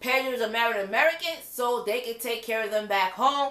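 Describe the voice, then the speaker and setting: In a raised, projected voice, a woman speaks with an animated tone and ordinary pitch variation. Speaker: reality TV reviewer. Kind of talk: casual video review monologue. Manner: loud.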